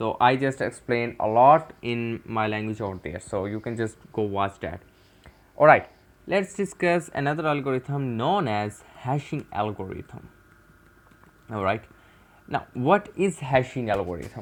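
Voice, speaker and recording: Speaking with a Pakistani accent, a man uses lively intonation. His pitch is medium and his pace fairly slow. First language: Urdu. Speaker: cybersecurity tutor. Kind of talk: tutorial. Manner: halting.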